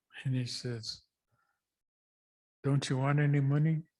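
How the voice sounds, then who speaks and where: A man's somewhat breathy, fairly high voice, fairly slow in pace with fairly even intonation. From US Pacific Northwest, Columbia River. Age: 70s. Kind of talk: storytelling talk at a public event.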